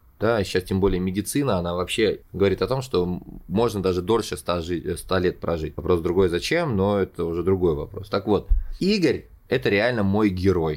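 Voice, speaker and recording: A man speaks in a very deep, low voice. His loudness swings widely. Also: ordinary pitch variation, moderate pace. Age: 30s. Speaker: podcast host, showman and actor. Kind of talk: solo storytelling monologue. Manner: animated.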